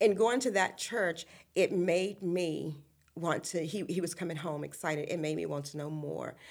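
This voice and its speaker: A woman with a Virginia accent speaks in a very deep, low pitch with vocal fry. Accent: Virginia Southern. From US South, central Virginia (Appomattox County). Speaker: ministry founder. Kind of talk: interview testimony. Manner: halting, many fillers.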